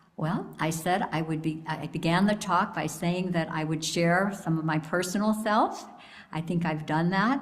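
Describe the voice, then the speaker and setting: Heard with audible room echo, the speech moves at a moderate pace with ordinary pitch variation. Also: woman, fairly low pitch for a woman. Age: 70s. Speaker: lay speaker at church service. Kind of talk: sermon. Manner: warm, reflective.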